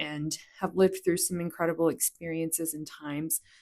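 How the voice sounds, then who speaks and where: This woman has an unremarkable speaking voice, fairly low in pitch, with ordinary pitch variation. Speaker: podcast host. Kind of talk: podcast intro.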